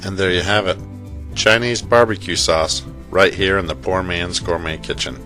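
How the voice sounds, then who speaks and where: Over music in the background, a man with a very deep, low pitch speaks at a moderate pace with lively intonation. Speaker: cooking channel host. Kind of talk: cooking tutorial narration.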